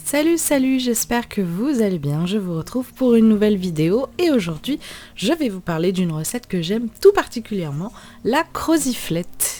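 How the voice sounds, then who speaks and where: Her tone dark and mellow, the woman delivers her words at a moderate pace. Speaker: cooking youtuber. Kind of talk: tutorial. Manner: casual, hesitant.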